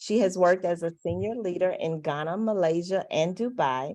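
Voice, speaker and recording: A woman with a Mississippi accent, medium pitch and ordinary pitch variation at a moderate pace. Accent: Southern Mississippi. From US South, Mississippi. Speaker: panel moderator. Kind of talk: panel introductions. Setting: video call.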